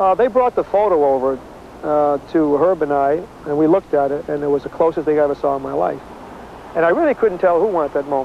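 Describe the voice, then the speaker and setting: Speech comes at a very fast pace with ordinary pitch variation, light background noise, and a dry sound with no echo. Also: man. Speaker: Olympic sprinter recalling the race. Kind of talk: recalled interview, casual storytelling. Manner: casual, conversational, hesitant with fillers. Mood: reminiscing, warm. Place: stadium.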